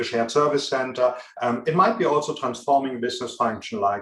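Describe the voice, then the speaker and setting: A man speaks with a strong German accent. His voice has a fairly high pitch. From Germany. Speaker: business consultant. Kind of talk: interview. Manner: frequent filler hesitations.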